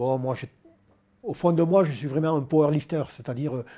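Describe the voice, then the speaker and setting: The speaker has a dark, mellow tone that is somewhat breathy. The pace is fairly quick. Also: man. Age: 60s. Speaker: powerlifting champion. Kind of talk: interview. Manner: hesitant, many fillers.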